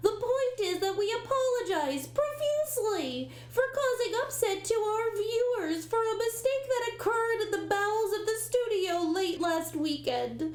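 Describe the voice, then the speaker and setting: A cartoonish character voice at an extremely high pitch and moderate pace, with clear background noise. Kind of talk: TV news parody. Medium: puppet show. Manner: newsreader delivery that cracks into exasperation.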